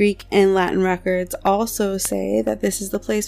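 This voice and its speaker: Music plays behind the speaker. She is a woman talking at a moderate pace. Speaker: podcast host. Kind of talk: scripted narration.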